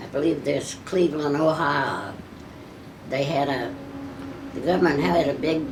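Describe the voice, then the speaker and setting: A woman with a very deep, low pitch speaks at a moderate pace with lively intonation. Long, frequent pauses break her speech, and noticeable background noise runs underneath. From Kentucky. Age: 80s+. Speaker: WWII factory riveter. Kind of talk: interview answer.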